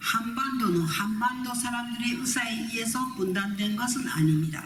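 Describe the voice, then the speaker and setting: Speech at a very slow pace and ordinary pitch variation comes through audible room echo and noticeable background noise. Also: woman. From Japan. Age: 80s+. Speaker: human rights activist, North Korean defector. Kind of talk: conference speech. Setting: hotel conference forum. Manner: formal.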